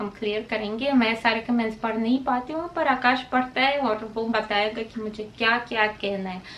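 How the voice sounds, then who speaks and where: A woman with a Russian accent and ordinary pitch variation. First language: Russian (speaking Hindi). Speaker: vlogger. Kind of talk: casual vlog talk to camera. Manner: halting, many fillers.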